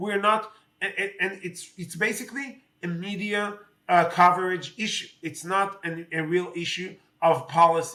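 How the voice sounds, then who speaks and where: Using a high pitch and a bright, sharp tone, a man with an Israeli accent keeps fairly even intonation while his loudness swings widely. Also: moderate pace. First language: Hebrew. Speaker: politician. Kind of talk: interview. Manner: halting, many fillers.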